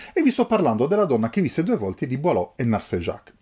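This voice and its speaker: With very wide pitch swings and a dark, mellow tone, a somewhat breathy man speaks at a very fast pace on a very clean recording with a silent background. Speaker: book YouTuber. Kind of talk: casual unboxing monologue. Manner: halting.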